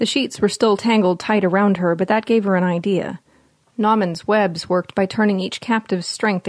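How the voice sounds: Intonation stays fairly even. The voice is a natural reading voice.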